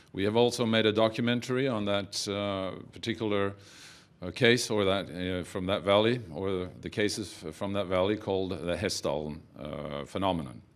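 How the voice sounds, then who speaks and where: Speaking with a Norwegian accent, a man uses ordinary pitch variation. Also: moderate pace. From Norway. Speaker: documentary film producer. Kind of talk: press conference talk. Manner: halting, many fillers.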